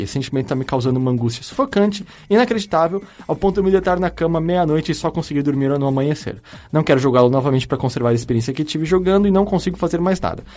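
Very fast pace and lively intonation. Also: man. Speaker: podcast host. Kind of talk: casual chat.

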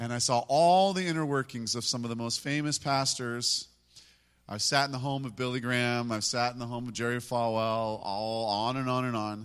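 On a very clean recording with a silent background, a man with an unremarkable speaking voice talks at a moderate pace, with medium pitch and ordinary pitch variation. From US, moved around constantly. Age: 50s. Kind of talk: worship exhortation.

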